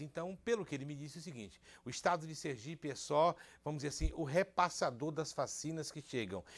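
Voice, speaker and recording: A normal speaking voice from a man, fairly high-pitched and fairly quick, its pitch varying in an ordinary way. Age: 60s. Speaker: TV show host. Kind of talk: casual chat.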